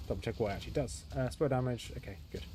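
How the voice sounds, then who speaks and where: With audible room echo, a man rushes along at a very fast pace in a dark, mellow tone marked by vocal fry. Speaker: gaming streamer. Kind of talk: live gameplay commentary. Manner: casual, thinking aloud.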